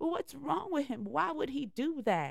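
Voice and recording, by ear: A put-on character voice with a Southern US accent, fairly high in pitch, at a moderate pace. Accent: country southern.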